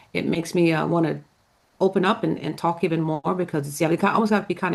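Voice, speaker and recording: A woman speaks very fast at a fairly low pitch, with vocal fry running through her voice. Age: 60s. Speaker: tarot card reader. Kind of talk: casual chat. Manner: halting.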